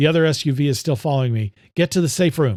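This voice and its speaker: Using a put-on character voice, a man talks at a very fast pace with lively intonation and a fairly high pitch, in a very clean recording with a silent background. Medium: read story.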